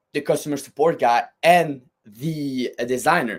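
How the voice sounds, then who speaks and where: The speaker has a strong French Canadian accent and talks at a fairly slow pace. The recording is very clean, with a silent background. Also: man. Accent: thick French-Canadian. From Quebec, French Canada. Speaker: fitness equipment company designer. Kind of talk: podcast interview. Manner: words run together.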